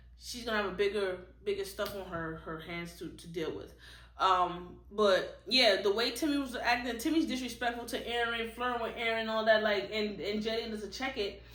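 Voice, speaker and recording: A woman speaks at a moderate pace with a fairly high pitch and ordinary pitch variation. Noticeable background noise and audible room echo are present. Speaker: book reviewer. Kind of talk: casual book review monologue. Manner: stutters and repeats words; casual, conversational.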